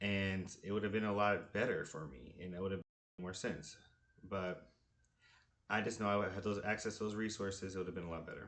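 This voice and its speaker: A man's fairly low-pitched voice at a very fast pace, with ordinary pitch variation, long, frequent pauses and audible room echo. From Kentucky, Lexington. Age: 20s. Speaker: applicant, Spanish interpreter. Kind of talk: application video monologue. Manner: casual, with fillers and restarts.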